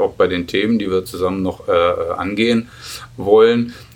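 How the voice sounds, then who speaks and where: Fairly low-pitched male voice with fairly even intonation and a moderate pace. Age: 50s. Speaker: federal police officer and union official. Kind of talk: interview. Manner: hesitant, many filler sounds.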